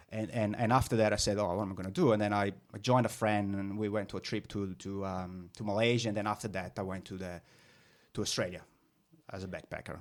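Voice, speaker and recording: A man with a slight Italian accent talks at a very fast pace in a fairly low pitch, monotone and flat, on a very clean recording with a silent background. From northern Italy. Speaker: business owner. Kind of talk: interview. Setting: podcast. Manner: halting with many fillers.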